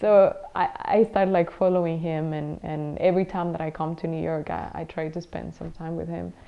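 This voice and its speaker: A woman's voice with big swings in loudness and hardly any pauses. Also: moderate pace. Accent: Spanish. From Mexico. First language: Spanish. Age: young. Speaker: pro-life volunteer and translator. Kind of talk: interview testimony. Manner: halting.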